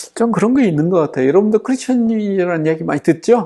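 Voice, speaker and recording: The tone is dark and mellow. Delivery comes at a fairly quick pace. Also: man. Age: 60s. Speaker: seminary professor and pastor. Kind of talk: lecture.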